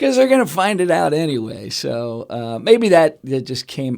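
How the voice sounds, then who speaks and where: A man with a Pennsylvania accent at a moderate pace, in a very clean recording with a silent background. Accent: Pennsylvania American. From Pennsylvania, Lehigh Valley. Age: 50s. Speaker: regional economic development executive. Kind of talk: interview. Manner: casual, conversational.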